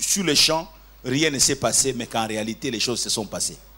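A man speaks in a bright, sharp tone. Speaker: preacher. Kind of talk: sermon. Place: church. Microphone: handheld.

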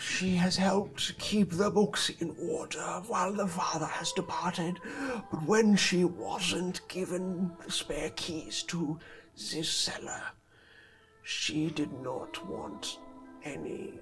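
A man puts on a character voice with a high pitch. He speaks fairly slowly over clear background music. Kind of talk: game master voicing villain NPC. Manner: cold, formal, unsettling; brooding, regretful.

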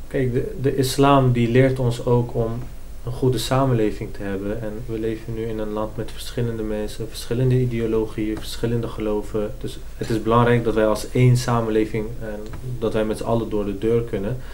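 A man's medium-pitched voice, fairly quick and monotone, flat in intonation, over light background noise. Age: 20s. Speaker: student; interviewee. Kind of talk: interview. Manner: hesitant, many fillers. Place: meeting room.

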